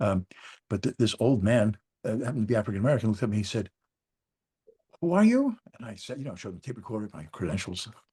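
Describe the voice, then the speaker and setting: A man's dark, mellow, somewhat breathy voice at a very fast pace with long, frequent pauses, in a dry, close sound with no echo. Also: medium pitch for a man, ordinary pitch variation. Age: 70s. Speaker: former journalist, grieving father. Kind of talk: personal storytelling.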